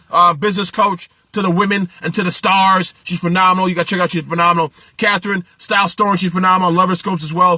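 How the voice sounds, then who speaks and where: A man's bright, sharp, high-pitched voice, raised and projected, animated, at a very fast pace, with a dry, close sound and no echo. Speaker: small business coach and livestreamer. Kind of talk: live stream talk to viewers. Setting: live video stream. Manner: hurried.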